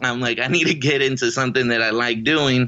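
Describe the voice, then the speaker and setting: A man with an ordinary speaking voice talks at a fairly quick pace and medium pitch, keeping a fairly even intonation. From Riverside, California, born in Mexico. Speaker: Army veteran and actor. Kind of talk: casual interview.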